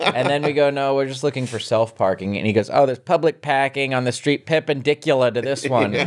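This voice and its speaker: Over noticeable background noise, a man rattles along at a very fast pace in an American accent with hardly any pauses. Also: medium pitch for a man, ordinary pitch variation. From Pennsylvania. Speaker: podcast co-host. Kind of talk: casual chat.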